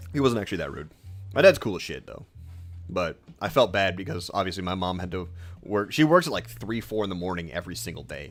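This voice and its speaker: Very fast speech from a man with a very deep, low pitch, lively intonation and big swings in loudness, over music in the background. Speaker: video game streamer. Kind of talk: live gameplay stream chat. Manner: loud, carrying voice.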